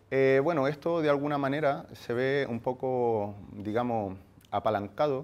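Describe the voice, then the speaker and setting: A man's voice with ordinary pitch variation. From Chile. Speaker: workshop speaker, marketing agency founder. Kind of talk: workshop talk. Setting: room with live audience. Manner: hesitant, many fillers.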